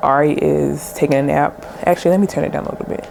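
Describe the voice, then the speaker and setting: Through noticeable background noise comes a woman's very deep, low-pitched voice. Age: 20s. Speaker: lifestyle vlogger. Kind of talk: casual get-ready-with-me chat.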